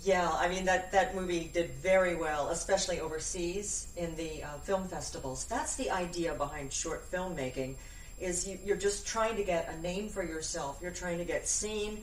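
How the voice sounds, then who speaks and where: Amid noticeable background noise, a woman speaks at medium pitch and a moderate pace, with ordinary pitch variation and hardly any pauses. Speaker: voice-over artist and actress. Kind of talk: casual chat.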